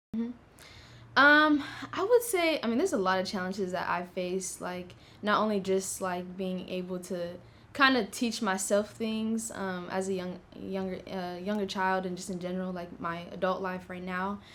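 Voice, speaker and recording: There is audible room echo as a woman speaks at a moderate pace and medium pitch with ordinary pitch variation. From US West, Las Vegas, Nevada. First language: Tigrinya. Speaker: university student, scholarship applicant. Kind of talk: interview. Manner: casual, many fillers.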